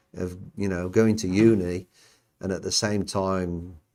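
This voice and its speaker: With a Birmingham accent and a fairly low pitch, a man speaks with fairly even intonation in a very clean recording with a silent background. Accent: Birmingham English (Brummie). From England, Birmingham. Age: 60s. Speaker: podcast host, former Olympic athlete. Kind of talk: casual chat. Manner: halting.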